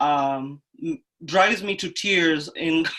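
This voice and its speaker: A woman speaks with a Kenyan accent at a fairly low pitch, her pitch varying in an ordinary way. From Kenya, Nairobi. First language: Kenyan native language, English is third. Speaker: coding bootcamp student and mother. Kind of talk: casual Q&A chat.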